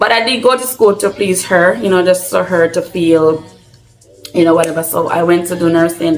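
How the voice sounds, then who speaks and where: Over music in the background, a woman with a Jamaican accent talks at a moderate pace in a fairly low pitch. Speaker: vlogger. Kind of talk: casual Q&A vlog.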